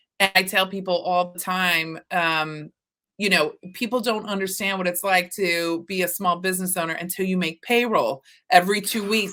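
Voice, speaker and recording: A woman speaks with an American accent at a medium pitch and a moderate pace. Her tone is bright and sharp, with ordinary pitch variation. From Texas. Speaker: podcast host. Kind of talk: interview conversation. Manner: animated.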